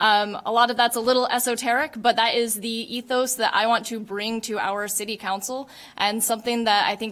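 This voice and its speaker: Her fairly high voice moves at a fairly quick pace, and this woman keeps a fairly even intonation. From Japanese American. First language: not English. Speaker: political candidate. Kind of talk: candidate forum statement.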